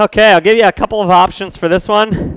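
Dry, echo-free sound from a man, quiet background behind him. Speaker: fitness instructor. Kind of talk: workout instruction. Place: home room.

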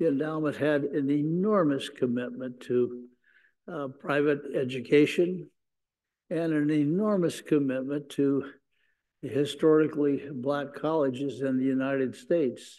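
A man with an American accent talks at a fairly slow pace, his pitch fairly high and his tone dark and mellow. His intonation shows ordinary pitch variation. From US Midwest. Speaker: sports business executive; panelist. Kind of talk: panel discussion. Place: hall.

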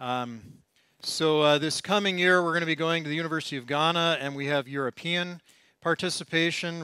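A man speaks at a moderate pace with an American accent, his tone bright and sharp. The sound is dry with no echo, the background quiet, and his intonation fairly even. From United States. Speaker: professor, oceanographer; lecturer. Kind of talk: lecture. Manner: hesitant, many fillers. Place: hall.

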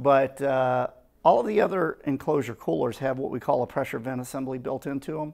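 The pace is fairly quick as a man speaks. Behind him the background stays quiet. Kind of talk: product explanation.

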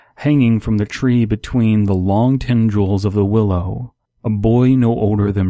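The background stays quiet. Words come in an unforced reading voice.

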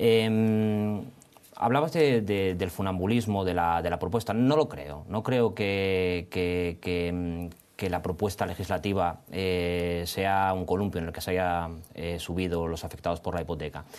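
This man's voice is very deep and low. He talks at a fairly slow pace with ordinary pitch variation. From Spain. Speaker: lawyer. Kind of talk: studio debate. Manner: halting, many repetitions and fillers. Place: studio. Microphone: lapel.

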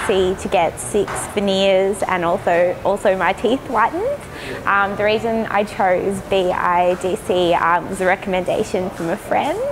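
Over noticeable background noise, a woman with an Australian accent talks at a fairly slow pace and medium pitch. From Melbourne, Australia. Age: 30s. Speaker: education designer, dental patient. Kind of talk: patient testimonial. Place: hall. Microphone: lapel.

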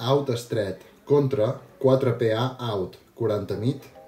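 Audible room echo and faint background music frame the recording. A man speaks at a very slow pace with fairly even intonation. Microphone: helmet.

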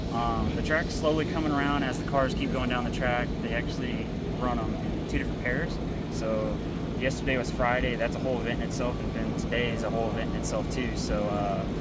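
A man speaks fairly quickly with loud background noise, the sound dry with no echo. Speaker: vlogger. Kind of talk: casual vlog chat. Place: stadium. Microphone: phone near.

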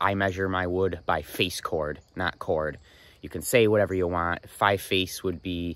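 The man's pitch is very deep and low, his intonation fairly even. He goes at a fairly slow pace, and the sound is dry with no echo. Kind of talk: casual vlog chat. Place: open country. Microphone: phone near.

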